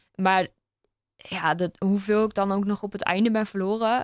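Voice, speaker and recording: A woman's monotone, flat delivery, dry and close with no echo, on a very clean recording with a silent background. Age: 20s. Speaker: open water swimmer and runner. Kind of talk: casual chat. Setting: studio.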